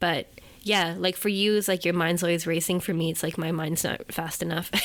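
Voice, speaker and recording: A woman speaks fairly quickly in a fairly low, monotone voice with flat intonation. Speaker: podcast host and editor. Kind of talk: casual chat.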